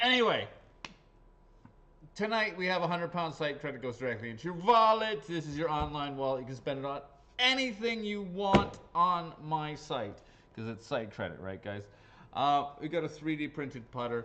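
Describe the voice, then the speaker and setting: There is noticeable background noise. Over it, a man's fairly high voice moves through very wide pitch swings. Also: moderate pace. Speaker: golf raffle seller. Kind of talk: live stream raffle draw. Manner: casual, hesitant with fillers.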